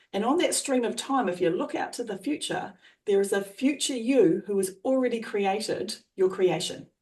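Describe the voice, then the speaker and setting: Her pitch leaps and dips across a very wide range. She is a woman with a fairly high voice. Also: moderate pace. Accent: Australian. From Australia. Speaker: trainer and coach. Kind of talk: coaching explanation.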